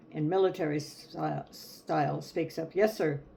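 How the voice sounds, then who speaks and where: A woman speaks at a fairly slow pace in a dark, mellow tone. Vocal fry runs through her voice. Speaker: storyteller. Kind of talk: reading aloud. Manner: occasional stutter.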